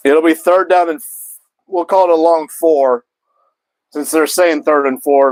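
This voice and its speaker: Loudness swings widely in this dry, close recording with no echo, where the fairly slow speech keeps a fairly even intonation. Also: man, fairly high pitch for a man. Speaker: sports streamer. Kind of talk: live commentary. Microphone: mic cutting in and out.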